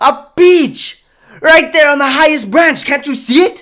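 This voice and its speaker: Shouting in a shrill, put-on character voice, the speaker goes at a moderate pace. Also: man, extremely high pitch for a man. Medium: read story. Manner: shrill, shouting.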